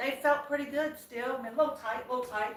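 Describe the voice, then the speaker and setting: A woman speaks at a fairly quick pace in an animated tone. Noticeable background noise and audible room echo are present. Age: 50s. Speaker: lifestyle vlogger. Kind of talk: casual live-stream chat.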